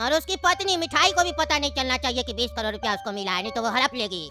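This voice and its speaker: A cartoonish, female-sounding character voice rattles along at a very fast pace with a fairly high pitch, over clear background noise. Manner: threatening, gloating.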